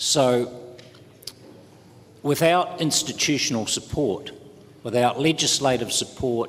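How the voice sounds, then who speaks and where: With a New Zealand accent, a man speaks at a fairly slow pace. His pitch varies in an ordinary way, and background noise is noticeable. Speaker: trade union official. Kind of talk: conference panel talk. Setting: conference panel. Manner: hesitant, many fillers.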